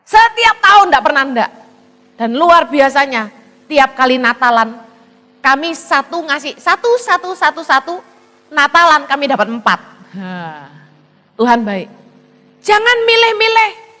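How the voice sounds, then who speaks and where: A woman with a Javanese accent speaks in a raised, projected voice at a high pitch with very wide pitch swings. Her pace is fairly slow, broken by long, frequent pauses. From Indonesia, Chinese-Indonesian descent. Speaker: evangelist preacher. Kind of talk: sermon.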